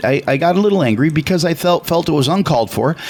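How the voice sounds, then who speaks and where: Noticeable background noise surrounds a man with an American accent whose high voice swings very widely in pitch at a fairly quick pace. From US Midwest, Chicago. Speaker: radio talk show co-host. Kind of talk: casual radio talk. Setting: radio studio. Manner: loud; animated.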